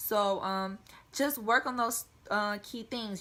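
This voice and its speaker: Speaking in a bright, sharp tone, a woman with an American accent holds a medium pitch with ordinary pitch variation. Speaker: air force member and vlogger. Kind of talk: casual vlog advice talk. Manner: fast.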